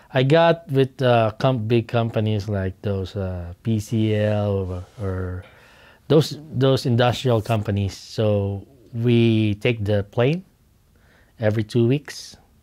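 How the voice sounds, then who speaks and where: Speaking very slowly with a strong Filipino accent, a man uses a fairly low pitch, a dark, mellow tone and ordinary pitch variation in a very clean recording with a silent background. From Philippines. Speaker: oilfield instrumentation worker. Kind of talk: oral history interview. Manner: halting, with repeated words.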